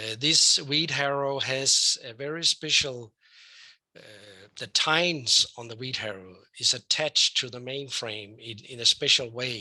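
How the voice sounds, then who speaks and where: A man's medium-pitched voice in a Danish accent, bright and sharp, with big swings in loudness, ordinary pitch variation and a fairly slow pace. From Denmark. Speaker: professor, weed scientist. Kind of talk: lecture. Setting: online webinar. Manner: hesitant, with many fillers.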